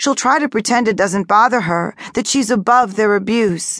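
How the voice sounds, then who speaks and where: A woman with an unremarkable speaking voice talks at a moderate pace against a quiet background. Her pitch is fairly high, with ordinary variation. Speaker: audiobook narrator and author. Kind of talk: dramatic first-person audiobook narration, reading memoir aloud. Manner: expressive, hushed and tense, building emotional weight; shifts into quiet, trembling dialogue and warm reassurance.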